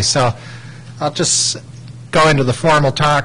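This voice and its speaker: A male voice, fairly high and fairly brisk, comes through noticeable background noise. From Ontario, Canada. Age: 40s. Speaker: microbiologist, academic. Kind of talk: lecture. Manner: halting.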